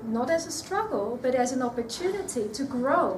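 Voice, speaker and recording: Here a woman speaks at a high pitch and a moderate pace. Audible room echo surrounds her voice. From Australia. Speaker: nutrition speaker. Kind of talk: talk to an audience. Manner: hesitant, repeats words.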